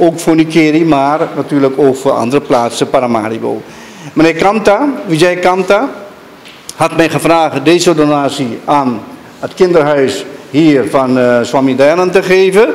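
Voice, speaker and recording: There is noticeable background noise as a man with a fairly high pitch talks at a fairly slow pace. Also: ordinary pitch variation. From Suriname. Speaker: surgeon and donor. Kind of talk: speech at a donation ceremony. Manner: halting.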